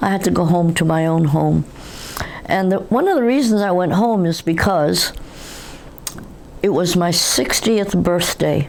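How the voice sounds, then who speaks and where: A speaker with an American accent talks at a fairly slow pace, with long, frequent pauses and very even loudness. Pitch varies in an ordinary way, and noticeable background noise and audible room echo are present. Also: woman, fairly low pitch for a woman. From New York City. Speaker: interviewee, third-generation Korean American. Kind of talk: oral history interview. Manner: halting.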